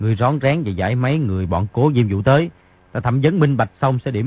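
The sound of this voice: An unforced reading voice is heard throughout.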